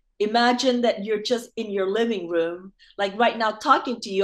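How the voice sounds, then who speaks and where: At a moderate pace, a normal speaking voice carries the speech. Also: woman. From Vietnam, moved to US at nine and a half. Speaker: actress and former TV host. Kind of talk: interview. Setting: video call.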